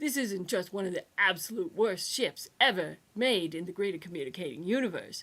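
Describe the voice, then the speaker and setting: A woman's put-on character voice, gravelly and raspy, at a medium pitch and moderate pace. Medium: read story. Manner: gruff, lecturing.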